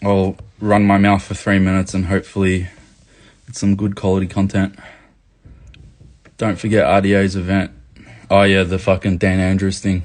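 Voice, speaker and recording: In an Australian accent, a man speaks at a moderate pace and a fairly low pitch, monotone and flat, with long, frequent pauses. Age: 20s. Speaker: activist livestreamer. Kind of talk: live chat reading comments. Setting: livestream. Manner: casual, profane.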